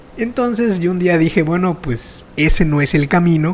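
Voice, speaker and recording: Against noticeable background noise, a man talks at a high pitch and a moderate pace with ordinary pitch variation. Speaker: podcast host. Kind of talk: interview conversation.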